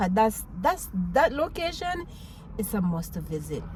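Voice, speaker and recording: A woman with a Jamaican accent and an animated tone. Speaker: vlogger, mom. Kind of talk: casual talk to camera. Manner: animated, expressive.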